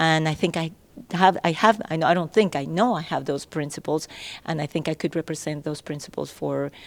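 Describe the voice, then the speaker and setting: On a very clean recording with a silent background, a woman talks at a fairly quick pace in a very deep, low pitch with vocal fry and ordinary pitch variation. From Venezuela. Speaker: political candidate. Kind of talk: panel discussion.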